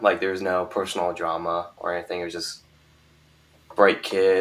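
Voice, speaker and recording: A man mumbling at a moderate pace in a very deep, low pitch, with noticeable background noise. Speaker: YouTuber, guest. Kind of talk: casual live stream discussion. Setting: live stream. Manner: mumbling, hesitant.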